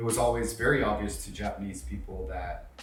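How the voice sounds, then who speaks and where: Fairly quick speech from a man, amid noticeable background noise and audible room echo. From Japan (Kobe), Indian family. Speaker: brand founder. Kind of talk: interview monologue.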